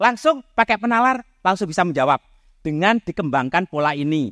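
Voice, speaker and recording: This loud man talks at a fairly quick pace with very wide pitch swings, in a very clean recording with a silent background and a dry, close sound with no echo. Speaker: mathematics professor. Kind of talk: public talk.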